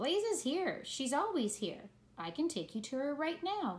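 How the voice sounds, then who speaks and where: A woman puts on a character voice with high pitch and very wide pitch swings, moving at a moderate pace. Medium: read story. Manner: gruff, blunt.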